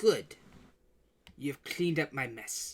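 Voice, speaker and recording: The speaker uses a put-on character voice. The pitch is in the middle range. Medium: actual play. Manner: shouting, erratic.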